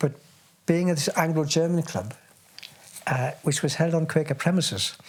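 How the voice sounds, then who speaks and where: Over noticeable background noise, a man speaks in a fairly high voice with ordinary pitch variation. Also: moderate pace. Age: 80s+. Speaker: war refugee recounting memories. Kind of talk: oral history interview. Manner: halting.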